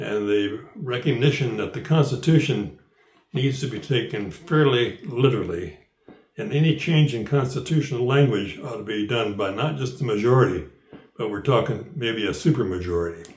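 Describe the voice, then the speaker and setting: A man talks at a moderate pace and medium pitch, with lively intonation and audible room echo. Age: 80s+. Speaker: elderly citizen sharing views. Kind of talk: personal commentary; reading aloud. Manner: halting.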